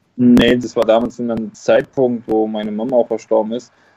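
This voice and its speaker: This man's voice has a dark, mellow tone and a medium pitch. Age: 20s. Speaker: former professional footballer. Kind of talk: interview.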